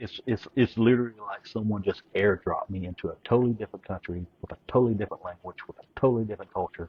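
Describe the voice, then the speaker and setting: A man speaks with a Southern accent at a fairly quick pace. His medium pitch holds fairly even intonation. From eastern Kentucky. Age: 40s. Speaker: Navy veteran. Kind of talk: casual chat.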